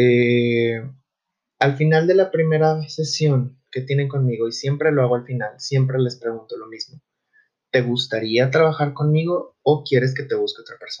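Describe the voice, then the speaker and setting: The voice is somewhat breathy, with fairly even intonation but big swings in loudness. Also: man, fairly high pitch for a man, moderate pace. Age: 20s. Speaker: psychologist, podcast host. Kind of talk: solo podcast monologue. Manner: hesitant, many fillers.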